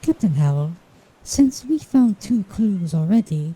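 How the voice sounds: Using a cartoonish character voice, a woman speaks at a fairly slow pace, her medium pitch making very wide swings.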